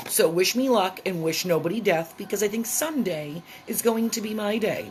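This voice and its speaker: Noticeable background noise sits behind a woman whose intonation is lively. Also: medium pitch for a woman, moderate pace. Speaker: vlogger. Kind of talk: casual vlog monologue.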